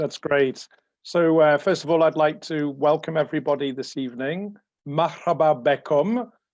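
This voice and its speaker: A man with a fairly high pitch and ordinary pitch variation keeps a moderate pace. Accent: English. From England. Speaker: space engineer. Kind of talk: lecture.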